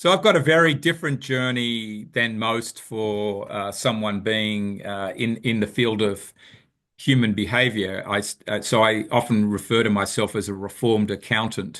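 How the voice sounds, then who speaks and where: At a moderate pace, a man with an Australian accent and a fairly low pitch talks with ordinary pitch variation. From Australia, Sydney. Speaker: business founder, behavioral finance expert. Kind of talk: interview.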